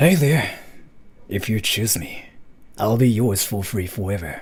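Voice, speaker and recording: A man performs a put-on character voice at medium pitch and a moderate pace. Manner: charming, flirtatious.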